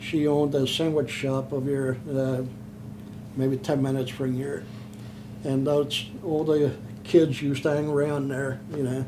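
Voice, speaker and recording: A man with an American accent talks at a fairly high pitch amid noticeable background noise and audible room echo. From Pennsylvania, Chester. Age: 70s. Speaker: war veteran. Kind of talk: oral history interview. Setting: in person, Philadelphia. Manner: halting.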